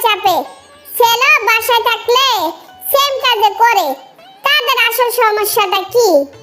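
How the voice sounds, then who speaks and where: A cartoonish character voice at a fairly slow pace, with faint music in the background. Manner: blunt, commanding.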